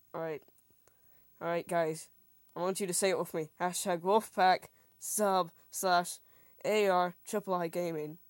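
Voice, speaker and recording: A woman speaks at a fairly slow pace with a fairly low pitch. Her intonation is monotone and flat, with long, frequent pauses. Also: dry, close sound with no echo. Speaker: gaming YouTuber. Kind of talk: casual vlog. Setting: home recording with headphones. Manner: stutters when tired; rambling, casual.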